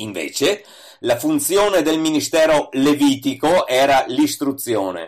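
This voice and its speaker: Speaking at a fairly slow pace, a man uses a plain, everyday voice. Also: fairly high pitch for a man, lively intonation. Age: 60s. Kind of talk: scripted reading of a religious essay.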